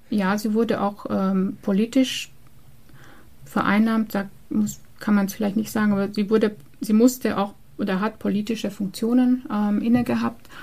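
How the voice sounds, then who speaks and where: A somewhat breathy voice with a dark, mellow tone and long, frequent pauses. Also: woman, fairly high pitch for a woman, fairly even intonation, moderate pace. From Transylvania, Romania. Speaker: librarian and exhibition curator. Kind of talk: interview. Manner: hesitant, many fillers.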